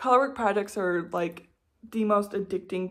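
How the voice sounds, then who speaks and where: A woman speaks at medium pitch with vocal fry and a relaxed tone. Her pace is fairly quick, with ordinary pitch variation. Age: 20s. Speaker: knitting vlogger. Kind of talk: casual chat. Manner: relaxed filler-heavy.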